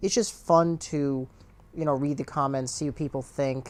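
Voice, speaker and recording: Mumbling in a monotone, flat intonation, a man speaks at medium pitch. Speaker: gamer and video commentator. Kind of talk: casual chat. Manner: stutters and mumbles; uses many fillers.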